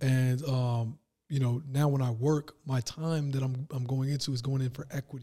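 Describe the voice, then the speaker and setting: A man at medium pitch and moderate pace, somewhat breathy, with monotone, flat intonation. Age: 30s. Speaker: entrepreneur. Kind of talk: casual chat.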